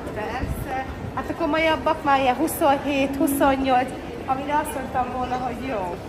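Amid noticeable background noise and audible room echo, a woman speaks in a high pitch at a fairly slow pace with fairly even intonation. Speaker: vlogger. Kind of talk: casual chat. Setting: shopping mall.

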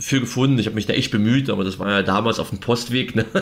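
This is a man speaking at a medium pitch. His intonation stays fairly even. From East Berlin. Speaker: author and journalist. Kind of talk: interview. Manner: halting, many fillers.

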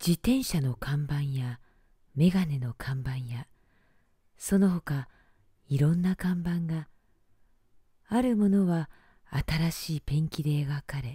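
In a very deep, low voice with a dark, mellow tone, a woman speaks very slowly, somewhat breathy and with lively intonation, the sound dry and close with no echo. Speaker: announcer and narrator. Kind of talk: bedtime story reading.

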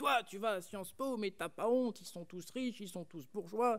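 A man speaks at a moderate pace. The background is quiet. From France, rural Burgundy. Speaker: student orator; speaker. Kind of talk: eloquence contest speech. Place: stage. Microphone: podium.

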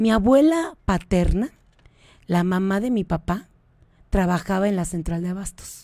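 Over a very clean recording with a silent background, a woman at a medium pitch uses lively intonation, moving at a fairly slow pace with long, frequent pauses. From Mexico City. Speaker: state tourism official and businesswoman. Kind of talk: radio interview.

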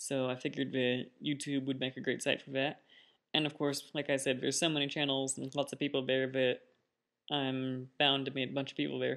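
A man talking at a fairly quick pace in a monotone, flat intonation, over a quiet background. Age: 20s. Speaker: vlogger; first-time vlogger. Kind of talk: casual vlog monologue. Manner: hesitant, many fillers. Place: home room. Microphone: webcam.

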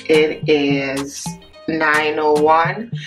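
Clear music plays behind a woman whose voice is very deep and low, her intonation fairly even. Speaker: travel vlogger. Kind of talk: casual vlog chat. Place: home room. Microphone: phone near.

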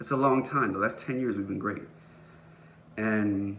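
With light background noise, a man speaks at a fairly low pitch in a bright, sharp tone. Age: 30s. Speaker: vlogger; vlogger sharing personal story. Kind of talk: personal vlog monologue. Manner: casual with many fillers. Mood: earnest, reflective, emotional. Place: home room. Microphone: phone near.

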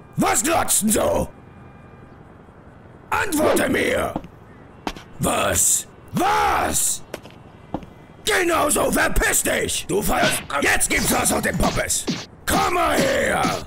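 A man shouts in a raspy, cartoonish character voice at a very slow pace, leaving long, frequent pauses. Clear background noise runs underneath. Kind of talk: parody dub of animated gameplay. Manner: brash, aggressive, shouting.

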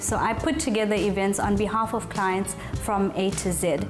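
A woman's voice is accompanied by clear music in the background. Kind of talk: interview answer. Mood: warm, confident. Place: cafe.

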